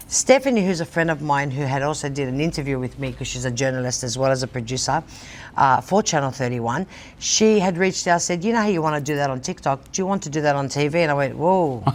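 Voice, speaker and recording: A woman with a very deep, low pitch and ordinary pitch variation talks at a very fast pace over noticeable background noise. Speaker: TV show host and social media personality. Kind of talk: casual interview chat. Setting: TV studio. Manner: animated.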